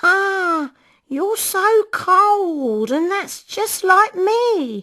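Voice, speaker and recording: A woman speaks in a squeaky, put-on character voice at an extremely high pitch. Her pace is very slow. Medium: read story. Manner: wheedling, overfamiliar.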